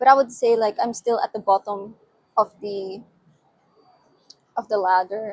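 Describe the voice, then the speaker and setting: A woman with a non-native accent talks at a fairly high pitch with ordinary pitch variation. The sound is dry and close, with no echo. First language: not English. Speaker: UI/UX designer and vlogger. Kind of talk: casual vlog monologue. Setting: outdoors on a balcony at night. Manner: hesitant, many fillers and restarts.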